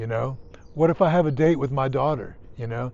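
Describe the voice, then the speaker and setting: This is a man speaking at a medium pitch. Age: 50s. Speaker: nurse. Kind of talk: casual monologue. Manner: halting.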